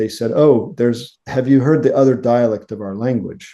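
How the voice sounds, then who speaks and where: A man speaks with an American accent. His tone is dark and mellow. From United States. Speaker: linguist professor. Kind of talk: interview.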